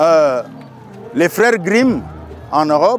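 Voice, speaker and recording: Music plays in the background as a man speaks at a very slow pace. His intonation is lively. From Cameroon. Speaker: storyteller. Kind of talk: interview answer.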